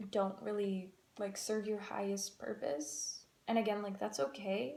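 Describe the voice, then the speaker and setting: Dark and mellow in tone, this voice moves at a fairly slow pace with ordinary pitch variation. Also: woman. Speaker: tarot card reader. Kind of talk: tarot reading. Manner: halting, many fillers.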